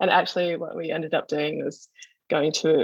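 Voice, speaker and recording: A woman speaks with an Australian accent. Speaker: visual artist. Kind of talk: artist talk over video call. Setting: video call from home.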